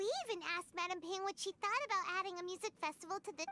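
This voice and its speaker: Over clear music in the background, a put-on character voice races at a very fast pace in an extremely high pitch. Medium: video game.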